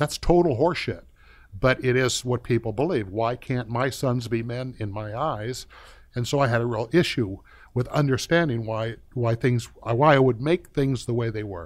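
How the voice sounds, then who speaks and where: The speaker keeps a moderate pace and ordinary pitch variation on a very clean recording with a silent background. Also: man, medium pitch for a man. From US West, East Los Angeles. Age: 60s. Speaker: former SWAT officer and entrepreneur. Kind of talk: podcast interview, personal storytelling. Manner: casual, with frequent fillers and restarts.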